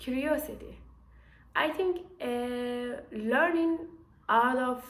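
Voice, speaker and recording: A woman with a non-native accent speaks in a high voice with ordinary pitch variation, and room echo is audible. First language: not English. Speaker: engineer and startup founder. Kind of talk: casual vlog to camera. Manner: halting, many fillers and restarts.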